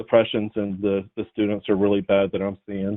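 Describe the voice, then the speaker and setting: Speaking at a moderate pace, a man uses a fairly low voice with an American accent. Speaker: caller, parent. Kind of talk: caller question. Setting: phone call.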